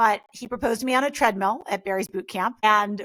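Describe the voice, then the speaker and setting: A woman with an American accent has an unremarkable speaking voice and ordinary pitch variation. The sound is dry and close, with no echo. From US Northeast (Westchester NY, Greenwich CT). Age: 40s. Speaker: mindset coach and influencer. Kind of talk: interview.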